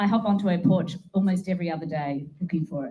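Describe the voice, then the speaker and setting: A woman speaks with an Australian accent. Her pace is fairly quick. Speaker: political activist and media co-founder. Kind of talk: speech to a meeting. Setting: meeting room with audience. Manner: casual, animated.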